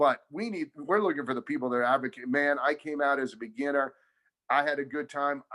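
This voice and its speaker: Loud and energetic, a man speaks at a fairly quick pace in a fairly high, bright and sharp voice with ordinary pitch variation. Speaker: tennis director. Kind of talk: casual chat.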